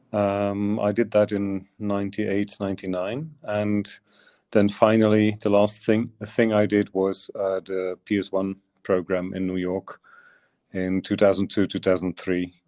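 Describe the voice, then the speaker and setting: A man with a Dutch accent speaks at a fairly slow pace, his pitch fairly low and his intonation monotone and flat. His tone is dark and mellow, and the sound is dry and close with no echo against a quiet background. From Flanders, Belgium (Turnhout). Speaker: visual artist. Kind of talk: interview. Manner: halting, many fillers.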